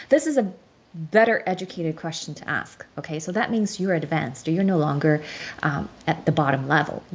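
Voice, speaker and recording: A woman with a Chinese accent at a moderate pace, her pitch swinging very widely. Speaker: show host explaining a legal case. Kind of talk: lecture with slides. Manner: halting.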